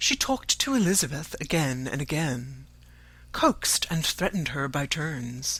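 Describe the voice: This man has a fairly high pitch and a bright, sharp tone. He speaks fairly slowly, with lively intonation.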